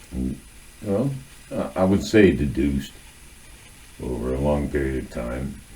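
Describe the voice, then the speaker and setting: With an American accent, a man speaks in a very deep, low pitch, leaving long, frequent pauses and keeping ordinary pitch variation. Room echo is audible, and background noise is noticeable. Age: 60s. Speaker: video essayist. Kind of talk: monologue on literature and culture. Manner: halting, many filler words.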